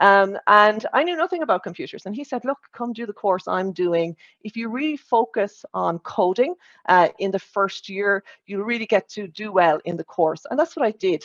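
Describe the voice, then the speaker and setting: A woman with an Irish accent, lively intonation, a moderate pace and big swings in loudness. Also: medium pitch for a woman, dry, close sound with no echo. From Ireland, Limerick area. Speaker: corporate data executive, conference speaker. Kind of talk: conference talk.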